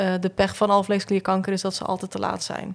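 A woman's fairly quick, monotone delivery with flat intonation. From Flanders (southern Belgium). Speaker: photographer and visual artist; podcast guest. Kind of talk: casual chat. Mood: calm, reflective, grieving topic. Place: studio. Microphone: studio mic.

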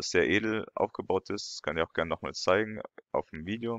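With normal rises and falls in pitch, a man talks at a moderate tempo. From France. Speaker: YouTuber and lecturer. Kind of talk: video commentary. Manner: hesitant, many fillers.

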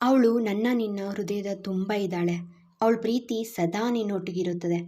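In this plain reading aloud, the pitch rises and falls in an ordinary way.

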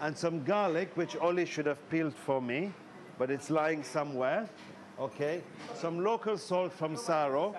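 A man speaks at a moderate pace with ordinary pitch variation, and noticeable noise is in the background. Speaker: cooking show host. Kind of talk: tutorial. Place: shop. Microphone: lapel.

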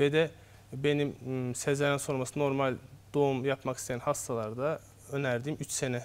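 Delivery comes at a moderate pace with monotone, flat intonation. Long, frequent pauses break it up. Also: man, fairly high pitch for a man. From Azerbaijan, Baku; Azerbaijan. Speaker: obstetrician-gynecologist; guest. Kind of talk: TV health interview. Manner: hesitant, frequent fillers. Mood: calm, explanatory. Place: studio. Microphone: lapel.

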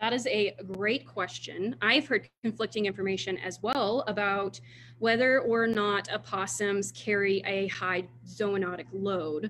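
A woman with an American accent at a medium pitch and a fairly slow pace, with lively intonation, vocal fry and light background noise. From Texas, Houston. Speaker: wildlife disease researcher. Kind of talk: Q&A after a talk. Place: office. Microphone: video call.

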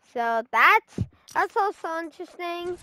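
A raised, projected voice with a bright, sharp tone moves at a very slow pace. The sound is dry and close, with no echo. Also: woman. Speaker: gaming streamer. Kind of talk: gameplay commentary. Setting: live stream. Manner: halting, many fillers.

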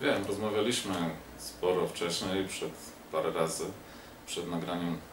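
A man's very deep, low voice, flat and monotone, with a Polish accent and noticeable background noise. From Poland. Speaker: political talk show host. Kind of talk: casual interview. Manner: halting. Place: home room. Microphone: camera far.

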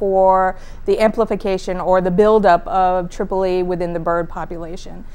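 Her speech moves along at a moderate pace. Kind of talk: interview answer. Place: studio.

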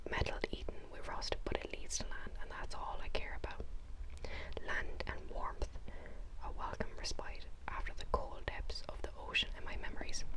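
Speaking at a moderate pace, the woman is soft-spoken. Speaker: book reader. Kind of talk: reading a novel aloud. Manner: soft, hushed ASMR reading voice. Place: home room. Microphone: lapel.

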